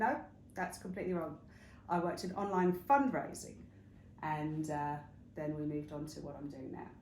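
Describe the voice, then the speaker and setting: A woman with a very deep, low pitch speaks in an English accent at a moderate pace, with long, frequent pauses. Her loudness swings widely, and the room echo is audible. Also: ordinary pitch variation. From England, northwest London / Hertfordshire. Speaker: interview guest, wellness retreat founder. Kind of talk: interview. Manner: hesitant, many fillers.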